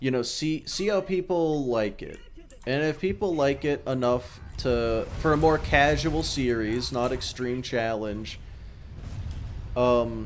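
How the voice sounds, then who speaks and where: This man speaks at a very slow pace, his voice medium in pitch with ordinary pitch variation. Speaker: gaming streamer and YouTuber. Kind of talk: casual live-stream gameplay chat. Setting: live stream while playing a game. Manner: halting, many fillers and restarts.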